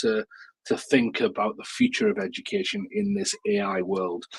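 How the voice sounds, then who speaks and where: A man speaks with a northeast English accent, his pitch swinging very widely. The sound is dry and close, with no echo. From northeast England, Newcastle. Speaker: education technology speaker and author. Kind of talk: webinar presentation. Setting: live online webinar. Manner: casual, many fillers and repetitions.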